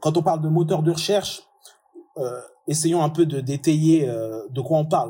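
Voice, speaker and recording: The speech moves at a fairly slow pace with long, frequent pauses. Its pitch variation is ordinary. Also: man, fairly high pitch for a man. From France. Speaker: digital marketing strategist, SEO expert. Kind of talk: interview.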